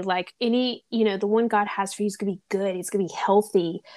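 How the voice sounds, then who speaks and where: With a Southern US accent, a woman speaks fairly quickly in a monotone, flat intonation, the sound dry and close with no echo against a quiet background. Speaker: podcast host. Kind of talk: casual chat.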